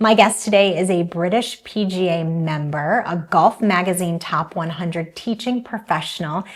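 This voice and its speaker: Speaking at a moderate pace, a woman has an unremarkable speaking voice at a medium pitch with ordinary pitch variation. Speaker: podcast host. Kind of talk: podcast intro.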